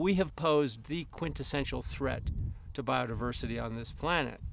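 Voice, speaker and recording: A man uses a normal speaking voice at a fairly high pitch and a moderate pace. The background is quiet. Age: 60s. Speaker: ecologist. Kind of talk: interview.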